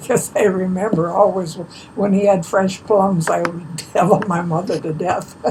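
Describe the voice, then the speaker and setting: Through noticeable background noise, a woman speaks in an American accent at a moderate pace, her fairly low pitch carrying fairly even intonation. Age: 90s. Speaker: elderly local resident. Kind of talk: oral history interview.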